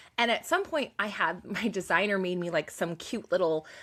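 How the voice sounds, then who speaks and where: Her tone is animated, at a medium pitch for a woman. The recording is very clean, with a silent background. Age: 40s. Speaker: business coach. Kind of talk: podcast interview.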